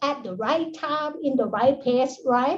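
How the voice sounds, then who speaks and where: There is audible room echo as a speaker with a Thai accent talks with ordinary pitch variation. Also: woman. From Thailand. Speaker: associate professor. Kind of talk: conference talk. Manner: halting.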